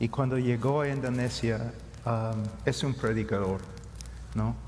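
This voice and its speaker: A man talks fairly slowly. His pitch sits in the medium range. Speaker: preacher. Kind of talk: panel discussion.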